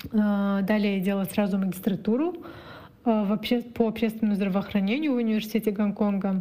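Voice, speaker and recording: A woman's somewhat breathy voice at a fairly quick pace, with fairly even intonation. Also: medium pitch for a woman, very even loudness. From East Kazakhstan, near Ust-Kamenogorsk. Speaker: business development in health tech. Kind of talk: personal account monologue.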